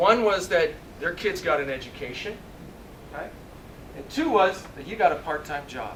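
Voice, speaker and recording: With an animated tone and lively intonation, a man speaks at a moderate pace and high pitch, his loudness swinging widely and his pauses long and frequent. Audible room echo and noticeable background noise fill the recording. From Canada, Ontario (Sudbury). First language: Italian. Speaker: motivational speaker, former basketball player and coach. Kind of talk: motivational speech.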